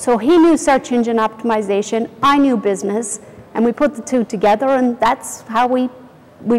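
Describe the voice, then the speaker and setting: Over noticeable background noise, a woman with a fairly high pitch speaks at a fairly quick pace with fairly even intonation. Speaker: company founder. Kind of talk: interview.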